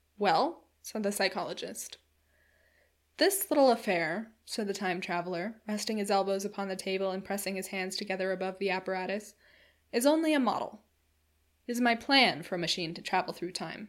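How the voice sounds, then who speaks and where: In an ordinary speaking voice, a woman talks at a fairly quick pace, her medium pitch showing ordinary pitch variation. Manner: measured, storytelling pace with a formal period tone.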